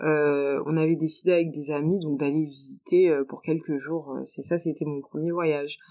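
A woman's fairly low voice at a moderate pace. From France. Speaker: expat professional. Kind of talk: interview testimony. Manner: halting.

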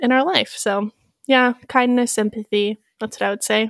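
Recorded dry and close with no echo, a woman speaks at a moderate pace in a fairly high pitch with fairly even intonation. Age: 20s. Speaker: podcast co-host. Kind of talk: casual chat. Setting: remote call from home.

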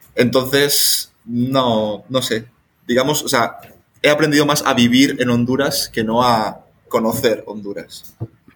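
Speaking very slowly, the man has a medium pitch. There is fairly little movement in his intonation. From Spain. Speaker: volunteer abroad, filmmaker. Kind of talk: casual chat.

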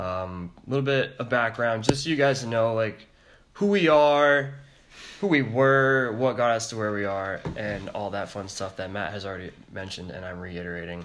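A man with an American accent speaks at a medium pitch with ordinary pitch variation. His loudness swings widely, and there is noticeable background noise. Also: moderate pace. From Connecticut. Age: 20s. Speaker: podcast host.

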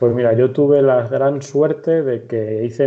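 A man with a central Spanish accent talks at a fairly slow pace with fairly even intonation. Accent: central Spain Castilian Spanish. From Spain, Madrid (Torrejón de Ardoz). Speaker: football injury rehab coach and PE teacher. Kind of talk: interview.

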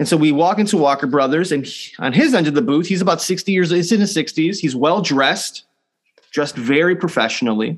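This man talks at a fairly quick pace in a high pitch with ordinary pitch variation. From US city, Puerto Rican family. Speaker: pastor. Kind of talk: sermon.

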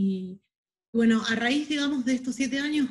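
The pace is moderate. There's a somewhat breathy quality to the voice. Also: woman. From Buenos Aires, Argentina. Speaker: holistic therapist and masseuse. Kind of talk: interview.

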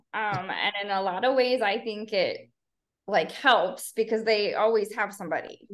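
A woman with an American accent speaks in an ordinary speaking voice, her fairly high pitch carried by fairly even intonation at a moderate pace. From US Midwest, Chicago south suburbs. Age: 40s. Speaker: ultrarunner, educator. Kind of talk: casual interview chat.

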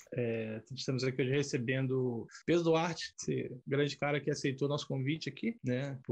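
A man's somewhat breathy voice at medium pitch, with fairly even intonation. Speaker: podcast host. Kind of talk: casual chat. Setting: video podcast with camera. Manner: talkative.

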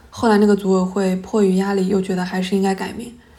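A woman speaks in a dark, mellow tone. Room echo is audible. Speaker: podcast host, academic researcher. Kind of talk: solo podcast monologue.

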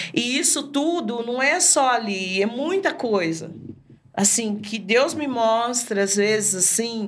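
Speaking at a very slow pace with audible room echo, a woman's fairly high voice swings very widely in pitch. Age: 50s. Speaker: evangelist. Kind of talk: testimony.

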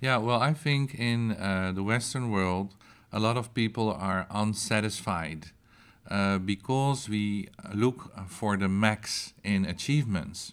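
Here a man speaks at a very slow pace with a fairly low pitch and ordinary pitch variation. The recording is very clean, with a silent background. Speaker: yoga and meditation teacher. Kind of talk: casual chat.

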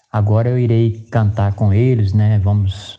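In a dark, mellow tone, a man with a fairly low, somewhat breathy voice speaks with monotone, flat intonation. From Mato Grosso do Sul, Brazil (Dourados). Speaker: sertanejo singer. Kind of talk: interview.

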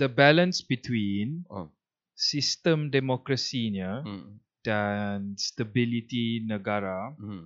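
Speaking very slowly, a man at medium pitch uses ordinary pitch variation while his loudness swings widely. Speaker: podcast host. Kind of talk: casual chat.

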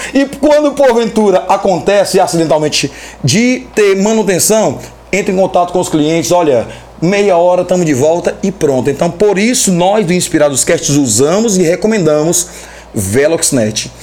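The speaker has an animated tone and lively intonation, keeping a moderate pace and very even loudness over noticeable background noise. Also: man, high pitch for a man. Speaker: podcast host. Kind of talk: casual chat.

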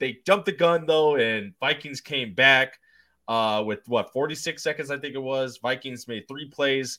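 With ordinary variation in his pitch, the man's voice sits at a medium level. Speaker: football podcast host. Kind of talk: casual sports chat. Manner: animated.

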